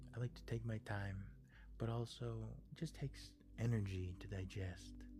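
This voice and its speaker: The speaker is soft-spoken, with music in the background. The pace is moderate. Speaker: live streamer. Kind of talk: casual live-stream chat with viewers.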